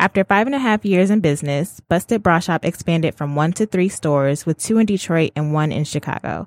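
With an ordinary speaking voice, a woman talks at a fairly quick pace with hardly any pauses, a fairly low pitch and ordinary pitch variation, in a dry, close sound with no echo. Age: 20s. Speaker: podcast host. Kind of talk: casual interview; reading aloud.

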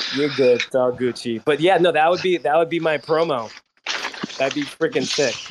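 A man's ordinary speaking voice at a fairly high pitch and moderate pace. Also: ordinary pitch variation. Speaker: crypto community member. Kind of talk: casual chat. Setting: online audio space.

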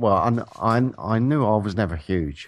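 A man speaks with a British accent. His pitch is fairly low and his pace fairly slow. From England. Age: 40s. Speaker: radio co-host. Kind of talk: casual chat. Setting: remote call.

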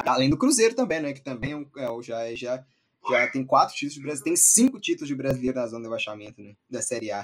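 Speaking very fast, this man lets his volume rise and fall sharply. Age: 20s. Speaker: football podcast host. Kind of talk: casual football discussion.

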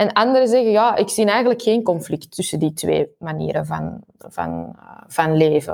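Here a woman talks at a moderate pace. She speaks with a strong Antwerp accent. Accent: thick Antwerp Flemish. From Belgium, Antwerp. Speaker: university researcher. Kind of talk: interview.

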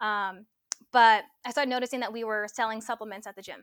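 Very fast and fairly high-pitched, a woman talks with a Californian accent in a dry, close sound with no echo. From Los Angeles, California. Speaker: supplement product developer. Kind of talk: interview.

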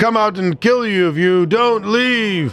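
Faint music plays behind a man doing a put-on character voice. He speaks at a fairly slow pace in a high pitch. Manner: spooky, threatening.

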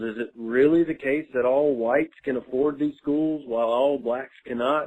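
A man speaks in a Southern US accent at a fairly high pitch. His pace is moderate, with ordinary pitch variation. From Mississippi. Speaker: listener caller. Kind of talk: voicemail message. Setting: phone voicemail.

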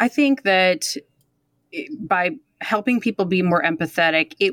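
A woman speaks at a fairly low pitch with lively intonation. The sound is dry and close, with no echo. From Detroit, US Midwest. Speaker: instructor and voiceover artist. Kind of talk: casual chat. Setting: remote call. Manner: playful.

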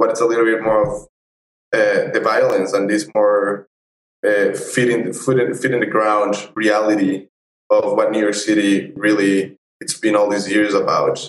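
The pace here is moderate. A man is speaking in a Spanish accent. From Colombia and Ecuador. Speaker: photojournalist. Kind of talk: interview.

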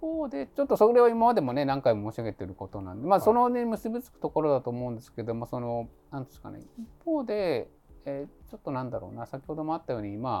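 A man with a fairly high pitch and a dark, mellow tone speaks very fast, with very wide pitch swings and big swings in loudness. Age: 50s. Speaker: labor and social security attorney. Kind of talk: casual chat.

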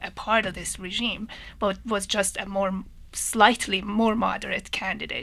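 Speaking at a moderate pace with a Persian accent, a woman has a bright, sharp tone, a medium pitch and fairly even intonation. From Iran (Tehran). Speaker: engineering professor. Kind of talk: radio panel discussion. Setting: studio.

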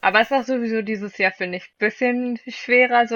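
A woman's unremarkable speaking voice, fairly high in pitch, with fairly even intonation and a moderate pace. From Flensburg, northern Germany. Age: 20s. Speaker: student podcaster. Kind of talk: casual chat.

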